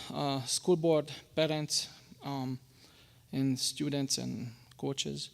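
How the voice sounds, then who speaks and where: A man with a Hungarian accent at a fairly high pitch and fairly slow pace, on a very clean recording with a silent background. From Hungary. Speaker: public commenter at school board meeting. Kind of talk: public comment speech. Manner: halting, with stumbles and restarts.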